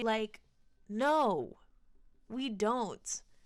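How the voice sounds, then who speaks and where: A woman with an ordinary speaking voice talks at a fairly high pitch, with ordinary pitch variation. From United States, Colombian-American family. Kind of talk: casual film commentary.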